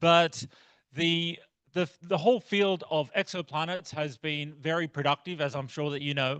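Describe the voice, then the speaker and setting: A man with an Australian accent speaks at a fairly slow pace, with a bright, sharp tone and a fairly high pitch that varies in an ordinary way. The background is quiet, and the sound is dry and close with no echo. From outback Australia. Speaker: astronomy researcher. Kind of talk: lecture. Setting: club meeting talk.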